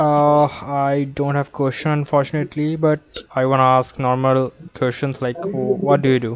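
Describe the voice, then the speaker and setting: Noticeable background noise sits behind a man with a fairly high pitch. He talks at a moderate pace with fairly even intonation and hardly any pauses. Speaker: English tips YouTuber. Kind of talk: casual conversation practice call.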